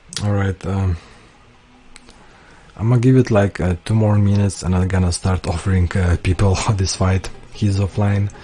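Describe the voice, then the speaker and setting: A man with a non-native accent speaks at a fairly low pitch. He leaves long, frequent pauses. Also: fairly even intonation, moderate pace. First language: not English. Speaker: tournament organizer and commentator. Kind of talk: live stream commentary. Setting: live stream. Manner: casual, many fillers.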